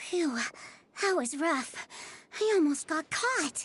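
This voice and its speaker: Someone uses a put-on character voice with an extremely high pitch at a fairly slow pace. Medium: video game.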